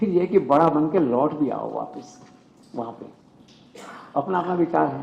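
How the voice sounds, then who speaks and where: Clearly audible background noise beneath speech with ordinary pitch movement. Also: man. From Rajasthan, India (Bikaner). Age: 70s. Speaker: news channel head. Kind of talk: public speech. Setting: book launch event with audience.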